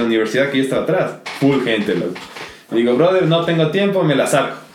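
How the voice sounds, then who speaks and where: Talking very fast with ordinary pitch variation, a man is heard with audible room echo and noticeable background noise. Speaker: podcast co-host. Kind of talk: casual chat. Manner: animated.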